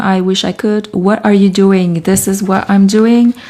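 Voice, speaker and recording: In a French Canadian accent, a woman speaks at a medium pitch. Her tone is soothing. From Canada. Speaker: artist and writer. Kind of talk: live stream chat while working. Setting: home studio live stream.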